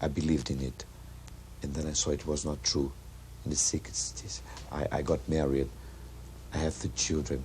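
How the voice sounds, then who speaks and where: A man with a Brazilian Portuguese accent speaks at a moderate pace in a very deep, low voice. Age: 40s. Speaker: actor. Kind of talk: street interview.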